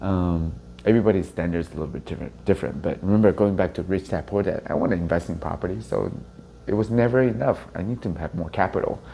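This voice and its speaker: In a Chinese accent, a man speaks very fast with lively intonation, his very deep, low voice dark and mellow in tone. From Taiwan (Taipei), moved to US at 13. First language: Mandarin Chinese. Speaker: real estate agent leader. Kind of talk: interview testimony.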